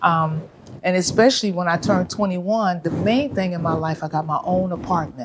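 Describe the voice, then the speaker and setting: With an American accent, a woman talks at a fairly quick pace in a fairly low voice with ordinary pitch variation, over noticeable background noise. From California, US. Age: 70s. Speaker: vegan chef and restaurant owner. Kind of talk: interview.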